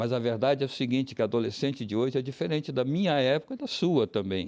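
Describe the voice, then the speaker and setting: The recording is very clean, with a silent background. A man talks very fast at a medium pitch. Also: ordinary pitch variation. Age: 80s+. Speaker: crisis helpline volunteer. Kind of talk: TV interview.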